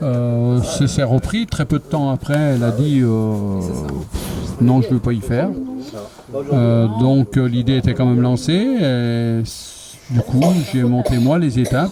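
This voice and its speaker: Against noticeable background noise, a man speaks very slowly at a medium pitch, with ordinary pitch variation and very even loudness. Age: 60s. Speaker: retired protester. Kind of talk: street interview. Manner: hesitant, many fillers.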